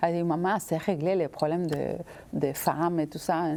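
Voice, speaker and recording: A woman with an Argentine accent talks at a fairly slow pace in a fairly low voice with fairly even intonation. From Argentina. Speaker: visual artist. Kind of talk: interview answer.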